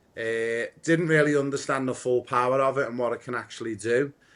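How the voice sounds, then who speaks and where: A man with a Liverpool accent talks at a moderate pace and medium pitch in monotone, flat intonation. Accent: Liverpool (Scouse). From Liverpool, England. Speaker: football coach and community founder. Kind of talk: podcast interview.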